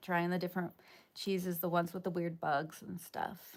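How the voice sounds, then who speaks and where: On a very clean recording with a silent background, a woman talks with an American accent. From US East Coast. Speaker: live streamer. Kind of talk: casual chat. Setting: livestream.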